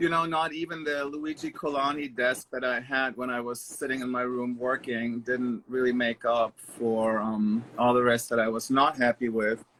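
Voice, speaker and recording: Over noticeable background noise, a man with a German accent speaks at a moderate pace. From Germany (Stuttgart, Baden-Baden). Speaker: interior designer. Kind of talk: casual interview chat.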